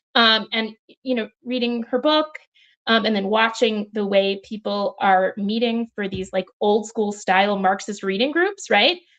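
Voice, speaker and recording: This is a woman's voice at a fairly high pitch. Her pitch varies in an ordinary way. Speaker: author. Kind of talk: panel discussion. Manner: fast; animated.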